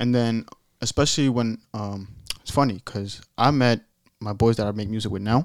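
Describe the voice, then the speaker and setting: A man's unremarkable speaking voice at medium pitch, moderate in pace, with fairly even intonation. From Europe, raised in Staten Island, New York. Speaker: rapper. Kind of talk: casual chat. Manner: casual, slangy.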